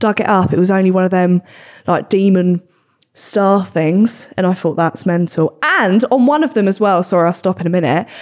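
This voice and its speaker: Against a quiet background, a woman keeps a moderate pace and very even loudness with ordinary pitch variation. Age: 20s. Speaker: podcast host. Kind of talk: casual chat. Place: studio. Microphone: studio mic.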